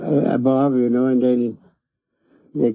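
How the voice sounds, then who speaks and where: Pitched at a medium level, a man's voice moves at a moderate pace. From Taos, New Mexico. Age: 80s+. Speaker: former rancher and horse breaker. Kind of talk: interview answer.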